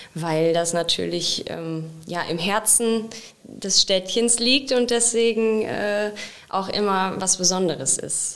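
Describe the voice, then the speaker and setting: This woman has a plain, everyday voice at a medium pitch. Her pitch varies in an ordinary way. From Sauerland, Germany (Wenden, Kreis Olpe). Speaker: municipal event organiser. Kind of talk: casual interview.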